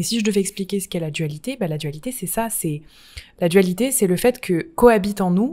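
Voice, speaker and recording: A woman with a dark, mellow tone speaks at a fairly quick pace with medium pitch and lively intonation. The recording is very clean, with a silent background. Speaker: life coach and podcast host. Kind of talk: solo podcast monologue. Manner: warm, affectionate.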